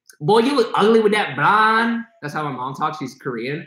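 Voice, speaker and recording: His tone is bright and sharp as a man talks at a fairly quick pace. The background is quiet, with audible room echo. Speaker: livestream host. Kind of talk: casual livestream chat. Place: studio. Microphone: phone near.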